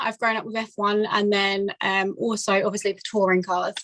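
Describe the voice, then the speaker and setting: A woman with an Essex accent talks at a medium pitch in a bright, sharp tone, her intonation fairly even and the sound dry and close with no echo. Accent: southern English, Essex. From England, Essex. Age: 20s. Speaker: amateur racing competitor. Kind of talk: casual interview chat. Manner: hesitant, many fillers.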